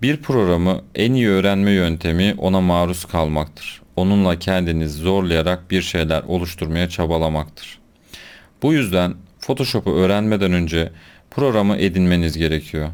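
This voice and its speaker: A man's very deep, low voice at a moderate pace, with very even loudness and ordinary pitch variation. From Konya, Turkey. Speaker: photoshop instructor, graphic designer.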